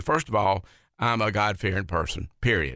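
The speaker delivers words at a very fast pace in a Southern US accent, with a bright, sharp tone and ordinary pitch variation. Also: man, very clean recording, silent background. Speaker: county council candidate. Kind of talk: radio interview.

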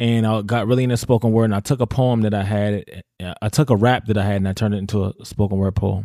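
Over a silent background in a very clean, dry, close recording with no echo, a man speaks very fast in a fairly low pitch, with a dark, mellow tone and fairly even intonation. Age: 30s. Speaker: spoken word artist and teacher. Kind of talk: casual chat.

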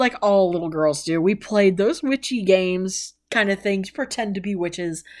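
With lively intonation and an American accent, a woman speaks at a medium pitch in an unremarkable speaking voice. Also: very clean recording, silent background. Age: 30s. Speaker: podcast host. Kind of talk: personal monologue. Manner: casual, rambling with fillers.

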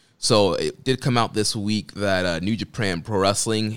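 An unremarkable speaking voice, a man talks at a fairly slow pace in a fairly low pitch. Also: very clean recording, silent background. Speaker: podcast host. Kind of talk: casual chat.

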